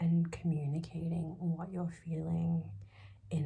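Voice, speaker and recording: The speaker is soft-spoken and goes at a fairly slow pace. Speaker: tarot reader. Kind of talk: tarot reading. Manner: hesitant, many fillers.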